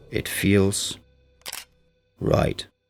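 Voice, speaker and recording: A man speaks with music playing in the background. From Denmark. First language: Danish. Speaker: chef. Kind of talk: scripted narration. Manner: slow.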